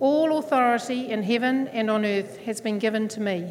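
A fairly high-pitched woman's voice with a New Zealand accent, ordinary pitch variation and a moderate pace. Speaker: church elder. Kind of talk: sermon. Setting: church.

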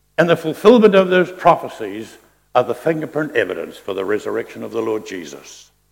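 A man with a New Zealand accent talks at a fairly quick pace. His loudness swings widely. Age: 70s. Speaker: pastor. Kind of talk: sermon. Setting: church.

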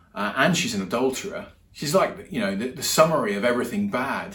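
With audible room echo, a man talks at a fairly quick pace in a fairly bright tone. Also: medium pitch for a man, lively intonation.

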